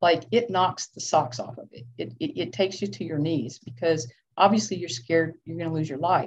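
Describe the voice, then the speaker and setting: A woman with an American accent speaks at a moderate pace with hardly any pauses, her fairly low voice somewhat breathy. Her intonation is lively, and her loudness swings widely. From Georgia, US South. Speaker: clinical social worker and former firefighter. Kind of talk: interview conversation.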